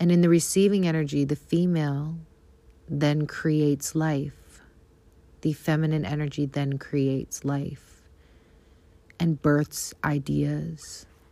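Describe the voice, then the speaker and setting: Speaking at a very slow pace with long, frequent pauses, a woman has a very deep, low voice, a dark, mellow tone, and fairly even intonation. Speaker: spiritual content creator. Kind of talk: motivational monologue. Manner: warm.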